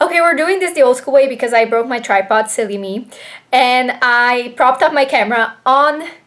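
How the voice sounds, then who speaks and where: A woman with a Slovenian accent and a high voice speaks at a moderate pace with ordinary pitch variation. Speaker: book vlogger. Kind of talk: casual vlog talk. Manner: hesitant, many fillers.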